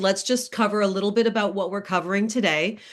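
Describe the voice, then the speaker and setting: Energetic in tone, a woman speaks fairly quickly at a medium pitch. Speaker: career coach. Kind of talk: webinar presentation. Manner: fast.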